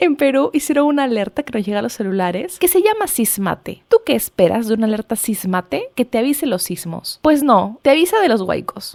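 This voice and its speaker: Fairly high in pitch and animated in tone, a woman speaks at a fairly quick pace with very wide pitch swings and hardly any pauses, in a dry, close sound with no echo. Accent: Peruvian. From Peru. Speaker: literary podcaster. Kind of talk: casual podcast monologue. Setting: home bedroom.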